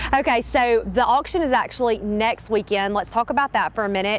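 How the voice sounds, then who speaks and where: Talking at a fairly quick pace with hardly any pauses, a woman uses ordinary pitch variation in a dry sound with no echo. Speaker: local TV host / interviewer. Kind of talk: TV business segment interview. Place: open country.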